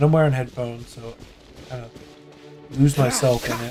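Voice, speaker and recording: A man mumbles with fairly even intonation. Music plays in the background. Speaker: gamer streamer. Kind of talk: gameplay commentary. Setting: home gaming setup, wearing headphones. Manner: mumbling; casual.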